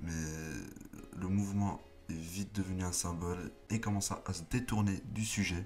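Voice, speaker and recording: Pausing long and often, a man with a very deep, low pitch speaks at a moderate pace and with fairly even intonation. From not from France, French-speaking. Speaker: YouTuber, political commentator. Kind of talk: casual commentary vlog. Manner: stutters, halting with many fillers.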